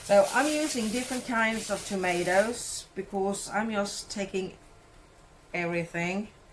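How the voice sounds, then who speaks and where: Speaking at a fairly slow pace, a woman with a Swedish accent uses a medium pitch and ordinary pitch variation. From Sweden. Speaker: cooking vlogger. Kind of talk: casual vlog tutorial.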